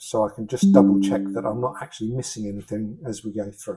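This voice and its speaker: This man speaks with a British accent. His tone is dark and mellow. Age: 60s. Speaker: fitness instructor. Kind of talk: exercise class instruction. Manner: encouraging, instructive.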